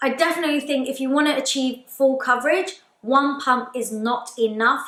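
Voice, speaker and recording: A woman with a London accent speaks at a fairly quick pace and a high pitch. Noticeable background noise is present. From London, UK. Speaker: makeup artist. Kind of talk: casual talk to camera. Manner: chatty, upbeat.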